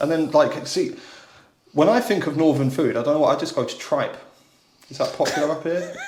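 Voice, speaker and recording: In a Southern English accent, a man talks at a fairly quick pace with long, frequent pauses. Noticeable background noise and audible room echo are present. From southern England. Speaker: podcast host and musician. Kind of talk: casual chat.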